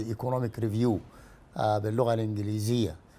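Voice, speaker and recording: This man's tone is dark and mellow. He speaks at a moderate pace with fairly even intonation. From Sudan, Sennar region (Singa); Sudan. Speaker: retired ambassador; guest. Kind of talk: interview, life story. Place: home room. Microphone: lapel.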